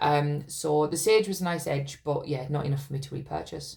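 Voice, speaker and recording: Speaking in a British accent, this woman sounds somewhat breathy. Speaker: wax melt reviewer. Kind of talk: casual product review. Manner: casual, hesitant with fillers.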